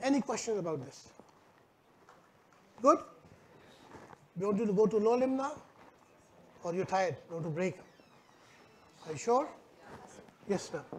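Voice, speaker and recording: The pitch swings very widely, broken by long, frequent pauses. Noticeable background noise runs underneath. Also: man, high pitch for a man, moderate pace, big swings in loudness. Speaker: neuromuscular medicine instructor. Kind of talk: live workshop demonstration. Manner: loud.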